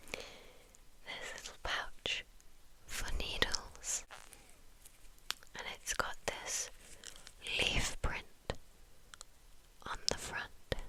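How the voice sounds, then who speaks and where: A woman is whispering at a very slow pace with long, frequent pauses, over noticeable background noise. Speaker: ASMR content creator. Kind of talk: ASMR show-and-tell, ear to ear whispers. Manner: whispered, soft-spoken, repeating words.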